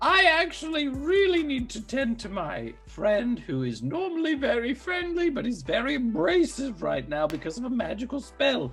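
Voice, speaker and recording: Over clear music in the background, a man performs a put-on character voice in falsetto. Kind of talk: comic overacting. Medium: actual play.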